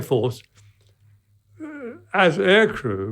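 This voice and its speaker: Vocal fry in a British accent. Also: man. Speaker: World War II veteran. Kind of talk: interview answer.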